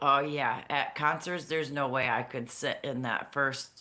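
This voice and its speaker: A woman speaks loudly in a very deep, low voice with a bright, sharp tone, at a fairly slow pace. The recording is very clean, with a silent background. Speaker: crafting livestream host. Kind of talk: casual chat.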